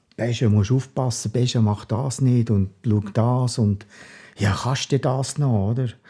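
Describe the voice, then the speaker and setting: Very slow and very even in loudness, a man speaks at a medium pitch with fairly even intonation, a dark, mellow tone and a somewhat breathy quality. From Bern Seeland, Switzerland. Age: 60s. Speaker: retired police officer, heart attack survivor. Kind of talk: interview.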